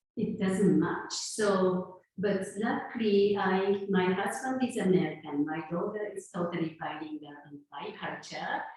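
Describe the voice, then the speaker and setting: A woman with a Japanese accent reads at a medium pitch and a fairly slow pace, with hardly any pauses. Her loudness swings widely, and room echo is audible. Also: ordinary pitch variation. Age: 50s. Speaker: sound healer. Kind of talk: talk. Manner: halting.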